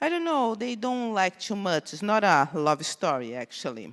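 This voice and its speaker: With a Brazilian accent, a woman speaks at a medium pitch that makes very wide swings. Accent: Brazilian Portuguese accent, noticeable. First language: Portuguese. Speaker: conference speaker, cybersecurity researcher. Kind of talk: conference talk. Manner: halting, many fillers.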